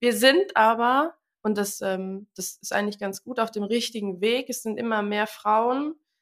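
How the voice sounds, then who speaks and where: A woman with a plain, everyday voice speaks fairly slowly at a fairly high pitch with ordinary pitch variation. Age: 20s. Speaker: tradeswoman and social media creator. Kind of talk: interview.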